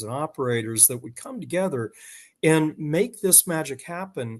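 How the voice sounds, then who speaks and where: Against a quiet background, a man speaks. His intonation is lively. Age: 60s. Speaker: business development professional. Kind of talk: interview podcast. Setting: in his parents' living room. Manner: halting, many repetitions.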